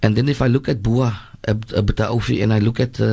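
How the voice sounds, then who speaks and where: A man's somewhat breathy, dark and mellow voice at medium pitch, moderate pace and fairly even intonation. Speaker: imam. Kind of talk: religious talk on radio.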